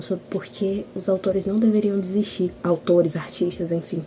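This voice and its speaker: A soft-spoken woman's medium-pitched voice with fairly even intonation, over noticeable background noise. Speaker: writer and video blogger. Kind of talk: casual vlog chat.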